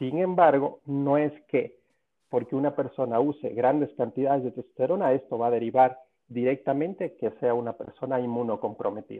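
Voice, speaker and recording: At a moderate pace, a man speaks in a plain, everyday voice of medium pitch with ordinary pitch variation. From Cuba. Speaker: sports medicine doctor. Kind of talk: interview.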